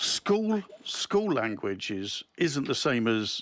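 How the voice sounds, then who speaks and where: Very wide pitch swings run through this voice with a southeast English accent. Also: man. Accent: south-east English. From south-east England, Dover. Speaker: chat show panelist. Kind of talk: casual chat.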